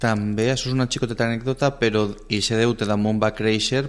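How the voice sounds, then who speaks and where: This man talks at a fairly quick pace in a fairly low pitch. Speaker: radio interviewer. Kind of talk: radio interview, hosting. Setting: radio studio. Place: studio.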